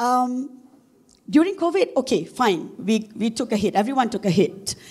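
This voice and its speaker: With lively intonation, a woman speaks in a high voice at a fairly slow pace. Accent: Malaysian. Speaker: corporate marketing executive. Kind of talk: conference talk. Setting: stage with audience. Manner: hesitant, many fillers.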